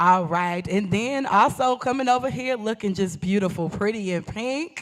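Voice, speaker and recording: Her tone is animated and her pace moderate as a woman speaks. Noticeable background noise can be heard. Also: medium pitch for a woman, lively intonation. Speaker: event moderator and church ministry co-lead. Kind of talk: live panel introduction. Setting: live stream event with audience. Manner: loud.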